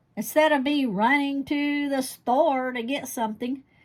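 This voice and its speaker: A woman speaks very slowly. Her pitch is high. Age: 60s. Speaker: home herbalist, channel host. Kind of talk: casual how-to tutorial. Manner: casual, halting with fillers.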